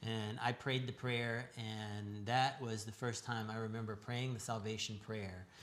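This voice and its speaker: Speaking at a medium pitch, a man talks at a fairly slow pace in a flat monotone, with hardly any pauses and noticeable background noise. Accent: American. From US Southwest, Tucson, Arizona. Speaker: church member sharing testimony. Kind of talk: testimony. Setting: live church broadcast. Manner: halting.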